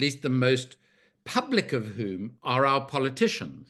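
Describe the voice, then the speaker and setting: An unremarkable speaking voice from a man at medium pitch, fairly slow, over a quiet background. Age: 60s. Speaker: arms trade researcher and author. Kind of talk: panel discussion.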